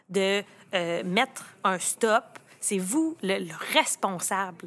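Her tone bright and sharp, a woman speaks in a Quebec accent with lively intonation. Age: 30s. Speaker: lawyer. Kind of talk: casual chat.

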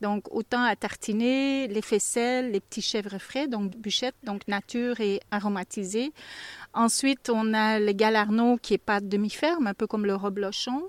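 A normal speaking voice moves at a fairly slow pace with fairly even intonation. The sound is dry and close, with no echo. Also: woman, fairly high pitch for a woman. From Belgium (Flanders). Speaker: goat cheese farmer. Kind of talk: interview. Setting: on the farm.

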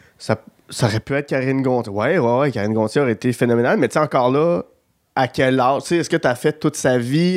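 A man talks at a very fast pace, keeping his loudness very even. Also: medium pitch for a man, ordinary pitch variation, dry, close sound with no echo, very clean recording, silent background. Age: 30s. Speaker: podcast host. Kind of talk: casual chat.

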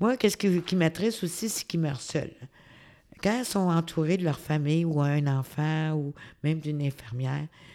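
A woman with a Quebec accent, very deep and low in pitch, dark and mellow in tone, with ordinary pitch variation. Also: moderate pace, very clean recording, silent background. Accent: Québécois French. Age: 60s. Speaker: community worker, social worker. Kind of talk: interview.

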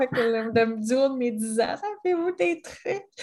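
A woman at a fairly slow pace, her pitch swinging very widely, over noticeable background noise. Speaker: podcast co-host. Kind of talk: casual chat.

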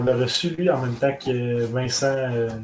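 Noticeable background noise sits behind a man who talks at a fairly slow pace. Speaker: podcast host. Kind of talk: casual chat.

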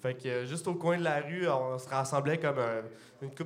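A man speaks in a Quebec accent at a fairly quick pace, medium in pitch with fairly even intonation. Room echo is audible. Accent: Québécois French. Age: 20s. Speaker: brewer and microbrewery co-owner. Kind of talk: casual chat. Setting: stage with audience.

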